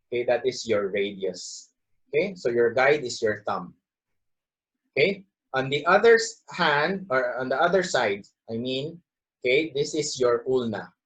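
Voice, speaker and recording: A moderate pace broken by long, frequent pauses, very wide pitch swings, and a Filipino accent. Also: man, medium pitch for a man. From Philippines. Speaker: anatomy instructor. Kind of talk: lecture. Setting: video lesson on camera. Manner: halting, many fillers like okay and uh.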